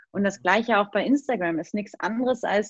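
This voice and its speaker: A woman with an unremarkable speaking voice and medium pitch talks at a moderate pace in a dry, close sound with no echo. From Hamburg, northern Germany. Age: 30s. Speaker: design coach and social media entrepreneur. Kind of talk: casual interview. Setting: video call.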